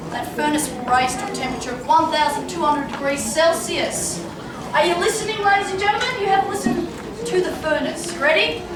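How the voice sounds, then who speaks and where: A loud woman's voice at an extremely high pitch, fairly quick and lively in intonation, with audible room echo and noticeable background noise. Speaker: tour guide. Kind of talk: live demonstration talk to visitors. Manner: loud, projecting to a crowd.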